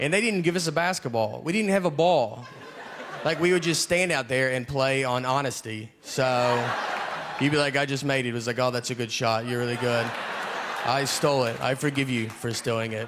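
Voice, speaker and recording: A man with a Tennessee accent talks at a moderate pace and medium pitch, with ordinary pitch variation. Noticeable background noise runs behind him. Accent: Southern US, Tennessee. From Tennessee, USA. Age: 30s. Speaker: stand-up comedian. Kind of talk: stand-up comedy routine.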